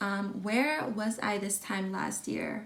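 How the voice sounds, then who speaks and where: Speaking very slowly, a woman with a somewhat breathy, medium-pitched voice is heard with audible room echo. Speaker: lifestyle vlogger. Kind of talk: casual vlog talk.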